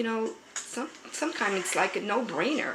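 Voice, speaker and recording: Speech comes at a fairly quick pace with lively intonation. Noticeable background noise and audible room echo fill the recording. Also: woman. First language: American Sign Language. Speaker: pastor. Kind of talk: interview testimony.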